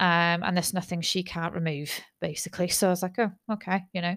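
On a very clean recording with a silent background, a woman with a British accent speaks fairly quickly at medium pitch in a flat monotone. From UK. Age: 30s. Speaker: podcaster. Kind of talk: personal monologue. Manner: halting.

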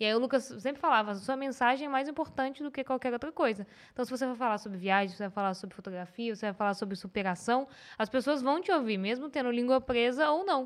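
Very fast speech comes with lively intonation. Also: woman, high pitch for a woman. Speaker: podcast host. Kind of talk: casual chat.

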